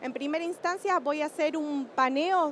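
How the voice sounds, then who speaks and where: A woman talks with ordinary pitch variation and a moderate pace while noticeable background noise runs underneath. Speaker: energy industry sustainability panelist. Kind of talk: panel talk.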